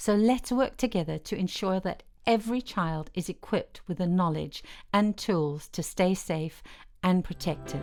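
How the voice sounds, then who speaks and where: Music plays in the background as a woman of medium pitch speaks at a moderate pace with ordinary pitch variation. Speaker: voice-over narrator. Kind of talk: educational course narration.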